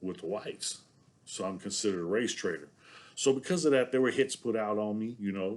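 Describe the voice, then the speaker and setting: Speaking in a Southern US accent, a man talks with a fairly low pitch. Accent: sounds Southern US. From San Diego, California (Southeast San Diego). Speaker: former prisoner telling his story. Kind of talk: casual monologue to camera. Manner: halting, many fillers.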